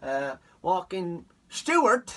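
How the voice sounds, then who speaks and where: With noticeable background noise behind him, a man speaks in an Irish accent with an animated tone and a high voice. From Ireland. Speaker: comedian. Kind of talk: comic storytelling.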